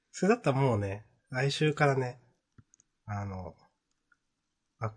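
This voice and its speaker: Against a quiet background, a somewhat breathy man speaks at a moderate pace with lively intonation. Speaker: manga podcast co-host. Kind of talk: casual chat.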